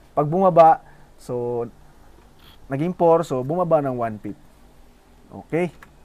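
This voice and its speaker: A man with a plain, everyday voice talks at a fairly slow pace with ordinary pitch variation. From Philippines, Bohol. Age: 20s. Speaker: forex trading youtuber. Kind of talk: tutorial.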